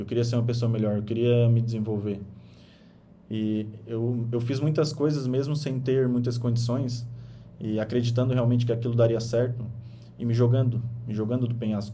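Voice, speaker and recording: Amid audible room echo, a man speaks at a moderate pace in a medium-pitched, dark, mellow, somewhat breathy voice, his intonation monotone and flat, with long, frequent pauses. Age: 20s. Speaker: podcast host and author. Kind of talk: motivational monologue on a podcast livestream. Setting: radio studio, streamed live.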